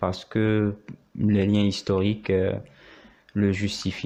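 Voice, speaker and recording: The speaker is a man with a fairly low pitch. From Morocco. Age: 30s. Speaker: doctoral law student. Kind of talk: interview. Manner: hesitant, many fillers.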